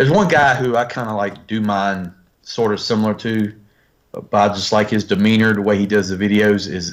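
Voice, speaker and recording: A fairly quick voice in a Southern US accent, with fairly even intonation, on a very clean recording with a silent background. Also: man, fairly low pitch for a man. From US South, northern North Carolina. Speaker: YouTube toy reviewer. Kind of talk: casual chat.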